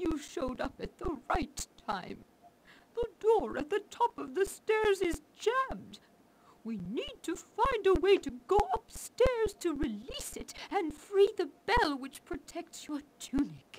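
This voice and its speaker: Putting on a character voice, a woman speaks at a fairly slow pace with extremely high pitch, very wide pitch swings and big swings in loudness. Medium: video game.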